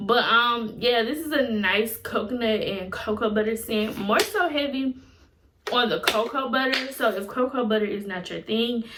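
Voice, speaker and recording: Noticeable background noise sits behind a woman speaking at a moderate pace, her fairly high pitch showing ordinary variation. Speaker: beauty and lifestyle YouTuber. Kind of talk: product review vlog.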